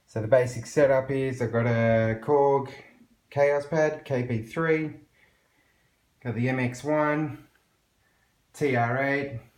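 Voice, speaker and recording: A man with a medium pitch speaks very slowly, with fairly even intonation. He pauses long and often, and the room echo is audible. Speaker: electronic music producer. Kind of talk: tutorial. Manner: casual.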